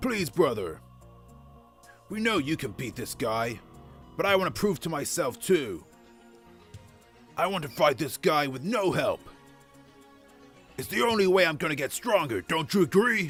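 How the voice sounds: Doing a put-on character voice, a man speaks fairly slowly with long, frequent pauses, his fairly high, fairly bright voice carrying a slightly husky edge and big pitch swings over faint background music.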